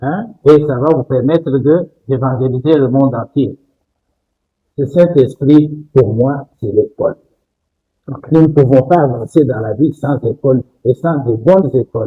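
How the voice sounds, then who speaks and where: Somewhat breathy, a man speaks fairly slowly with long, frequent pauses, using a fairly high pitch with ordinary variation. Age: 80s+. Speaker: doctor. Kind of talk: interview.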